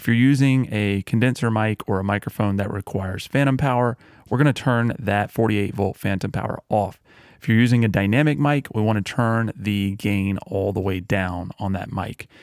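Against a quiet background with a dry sound and no echo, a man uses an ordinary speaking voice at a fairly low pitch, with ordinary pitch variation and a moderate pace. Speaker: audio tutorial host. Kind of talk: tutorial. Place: home room. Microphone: studio mic.

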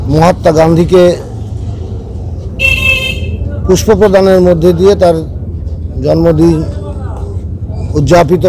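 Light background noise under a man's dry-sounding voice, with no echo. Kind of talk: interview answer. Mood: calm, commemorative. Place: street. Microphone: phone near.

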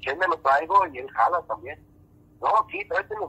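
Talking at a very fast pace, a man has a bright, sharp tone and ordinary pitch variation, with a dry, close sound and no echo. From northern Mexico. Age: 40s. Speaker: musician. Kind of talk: casual chat. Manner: halting.

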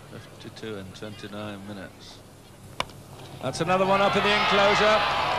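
Speaking at a fairly slow pace with long, frequent pauses, a man at medium pitch makes very wide pitch swings and big swings in loudness over noticeable background noise. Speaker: radio cricket commentator. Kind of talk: live commentary, 1960s radio cricket broadcast. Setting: outdoors at the ground, archive broadcast. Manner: excitable, rising in excitement as the sixes mount.

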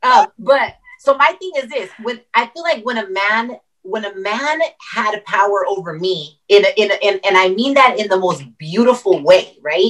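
In an ordinary speaking voice, a woman talks at a moderate pace and fairly high pitch, with lively intonation, big swings in loudness and a quiet background. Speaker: entrepreneur. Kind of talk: casual panel discussion. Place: home room. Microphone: video call.

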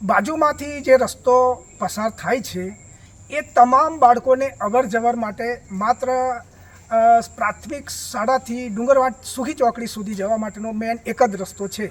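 A man's extremely high voice with ordinary pitch variation and big swings in loudness. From Gujarat, India (Chhota Udepur district). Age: 60s. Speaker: village resident. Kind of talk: on-camera complaint to news reporter.

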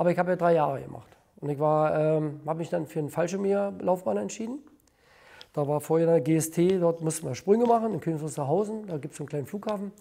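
Fairly high for a man, this dark, mellow voice moves at a fairly quick pace with ordinary pitch variation. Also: quiet background. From Brandenburg, eastern Germany. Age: 70s. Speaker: former IT specialist and privatization official; interviewee. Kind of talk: interview testimony. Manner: halting, with many fillers and repetitions. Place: home room. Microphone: lapel.

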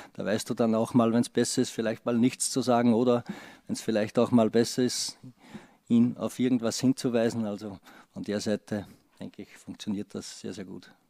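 A man's dark, mellow voice with an Austrian accent, medium pitch, monotone, flat intonation and a moderate pace, against a quiet background. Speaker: football assistant coach. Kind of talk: press conference. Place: meeting room. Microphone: podium.

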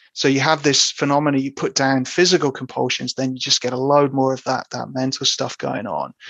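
A man with a British accent, monotone and flat in intonation, at a fairly quick pace, with a dry, close sound and no echo. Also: medium pitch for a man. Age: 30s. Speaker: psychotherapist. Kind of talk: interview.

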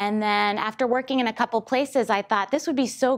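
A woman's speech shows ordinary pitch variation, with quiet all around it. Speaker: guest lecturer. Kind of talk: lecture. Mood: warm, lightly humorous. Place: classroom.

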